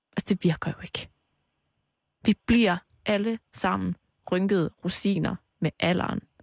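Recorded dry and close with no echo, a woman of medium pitch speaks fairly slowly with vocal fry and long, frequent pauses. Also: fairly even intonation. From Denmark, Aarhus. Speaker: radio host. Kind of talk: casual chat.

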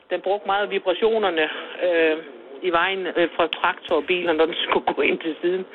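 Through noticeable background noise, a woman speaks at a moderate pace with fairly low pitch and monotone, flat intonation. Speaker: village shopkeeper. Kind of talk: casual chat. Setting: phone call.

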